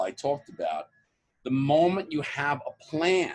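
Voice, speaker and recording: A man with a New York accent speaks at a fairly slow pace. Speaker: author and motivational coach. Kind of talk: podcast interview.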